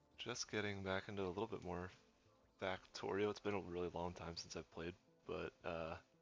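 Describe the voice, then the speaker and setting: With music in the background, a man with a very deep, low pitch speaks at a fairly quick pace. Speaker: gaming streamer. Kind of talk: live gameplay commentary. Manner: casual, with filler words.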